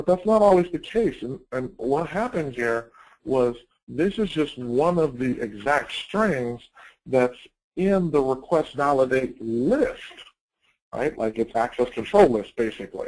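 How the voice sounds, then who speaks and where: A man with an ordinary speaking voice talks at a fairly slow pace in a fairly high pitch with lively intonation. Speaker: security trainer. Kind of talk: webinar presentation.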